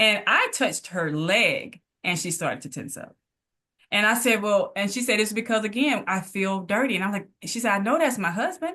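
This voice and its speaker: This woman has a Mississippi accent and a fairly high pitch, with a bright, sharp tone. She talks at a moderate pace with lively intonation. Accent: US Southern (Mississippi). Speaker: physical therapist. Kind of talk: casual interview conversation.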